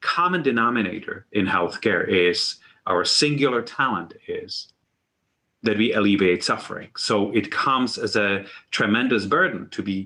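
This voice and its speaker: With a non-native accent, a man talks at a moderate pace and medium pitch, his tone bright and sharp and his intonation lively. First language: not English. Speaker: university medical leader. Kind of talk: symposium talk. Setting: virtual symposium.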